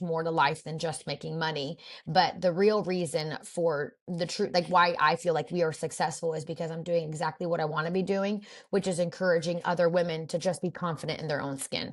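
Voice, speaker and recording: Speaking fairly quickly in a fairly low, monotone, flat voice, a woman is heard on a very clean recording with a silent background. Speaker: boutique owner. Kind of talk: interview conversation. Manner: fast.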